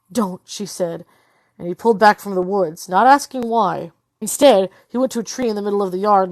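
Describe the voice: Plain reading aloud with ordinary pitch variation plays against a quiet background.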